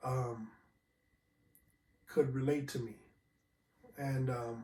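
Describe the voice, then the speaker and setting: A man's dark, mellow voice, somewhat breathy, at a very slow pace with monotone, flat intonation. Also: medium pitch for a man. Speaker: podcast host. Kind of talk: casual solo podcast talk. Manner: halting, many fillers.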